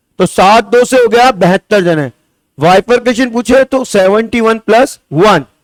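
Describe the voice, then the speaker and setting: A man talks with a high pitch and an animated tone. His pitch variation is ordinary. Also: very even loudness, dry, close sound with no echo. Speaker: coaching teacher. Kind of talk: classroom lecture.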